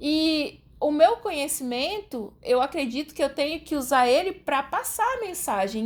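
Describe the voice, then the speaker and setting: A woman's high voice in an interior São Paulo accent, fairly slow, with very wide pitch swings. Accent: Brazilian caipira. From Brazil, Rondônia state. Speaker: guest expert, writer. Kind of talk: educational podcast interview.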